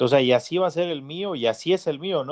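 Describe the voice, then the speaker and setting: This man has a plain, everyday voice and talks at a fairly quick pace with lively intonation. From Mexico, rural Guanajuato. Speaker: podcast host, father. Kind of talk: casual chat.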